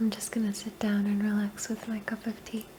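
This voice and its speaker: A woman speaks softly in a fairly high voice at a moderate pace. Noticeable background noise sits behind her. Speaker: ASMR creator. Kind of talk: ASMR personal attention affirmations. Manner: soft-spoken.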